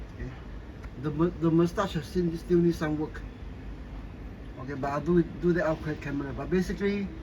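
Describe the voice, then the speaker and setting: This man's pitch is fairly high and his intonation fairly even. He leaves long, frequent pauses. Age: 60s. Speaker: scale model builder. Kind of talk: tutorial. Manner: halting, many repeats and fillers.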